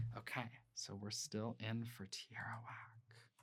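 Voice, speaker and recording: A somewhat breathy man's voice at a medium pitch. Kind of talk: ASMR roleplay, soft-spoken shop clerk talking to a customer. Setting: home recording with a close microphone.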